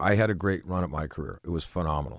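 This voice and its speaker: Recorded very cleanly against a silent background, with a dry, close sound and no echo, a man speaks with vocal fry and ordinary pitch variation. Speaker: retired police officer and firearms instructor. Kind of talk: interview.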